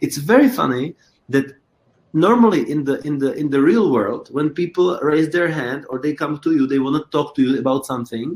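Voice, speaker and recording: A man with a Czech accent talks in a fairly high pitch. His pitch varies in an ordinary way, and his pace is moderate. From Czech Republic. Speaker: choreographer and creator. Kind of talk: interview. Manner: halting, frequent repetitions.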